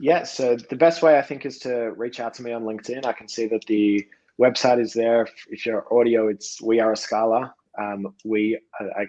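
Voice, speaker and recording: A man with an Australian accent talks at a moderate pace in a medium-pitched voice with a dark, mellow tone. His intonation is fairly even, and his loudness swings widely. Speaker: podcast guest, company representative.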